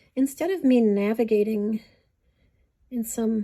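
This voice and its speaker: A woman's fairly high-pitched voice has a dark, mellow tone and sounds somewhat breathy. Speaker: beading teacher. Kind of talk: tutorial. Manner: slow; conversational.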